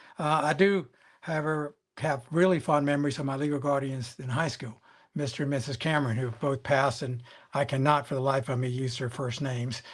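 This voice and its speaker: Fairly quick and fairly even in intonation, the man's speech is somewhat breathy and pitched fairly high. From Cuba, raised in US from age six. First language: Spanish. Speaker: former securities regulator and lawyer. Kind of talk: panel conversation, virtual event. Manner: hesitant, many fillers.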